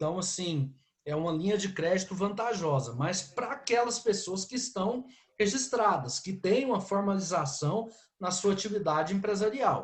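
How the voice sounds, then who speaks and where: At a fairly slow pace, a man speaks in a high pitch with very wide pitch swings. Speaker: law lecturer. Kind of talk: lecture.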